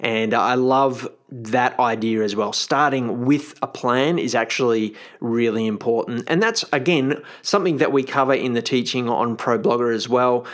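An unremarkable speaking voice moves at a moderate pace, with very even loudness and ordinary pitch variation. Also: man, medium pitch for a man. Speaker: podcast host, blogging coach. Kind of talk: podcast monologue.

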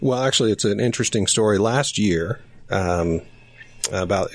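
A man's plain, everyday voice, fairly low in pitch, at a moderate pace over a quiet background. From Utah. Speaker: business founder. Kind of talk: casual interview.

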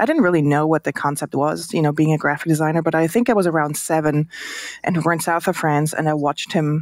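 A woman with a Swiss accent, very deep and low in pitch, with fairly even intonation, in a dry, close recording with no echo, very clean with a silent background. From Switzerland. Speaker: designer and entrepreneur. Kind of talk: casual interview. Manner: hesitant, filler words, warm.

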